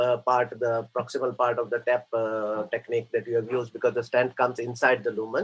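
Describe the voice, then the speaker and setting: This is a man talking. His pitch is medium. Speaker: interventional cardiologist. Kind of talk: case presentation. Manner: hesitant, many fillers; fast.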